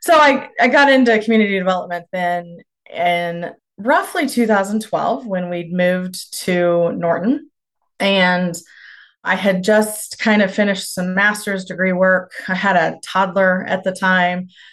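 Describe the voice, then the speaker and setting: Against a quiet background, the speaker talks at a fairly slow pace with a Kansas accent. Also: woman, medium pitch for a woman, ordinary pitch variation. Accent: Midwestern American (Kansas). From rural northwest Kansas. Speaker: rural community development practitioner. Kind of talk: podcast interview.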